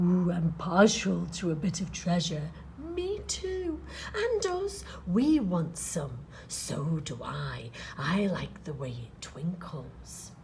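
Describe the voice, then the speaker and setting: A woman uses a put-on character voice at a very slow pace, with clear background noise behind her. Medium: read story. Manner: eager, comic.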